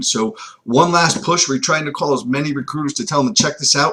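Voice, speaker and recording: A man's somewhat breathy voice, fairly high in pitch, moves along at a fairly quick pace. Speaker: recruiting coach. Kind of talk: webinar presentation. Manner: fast.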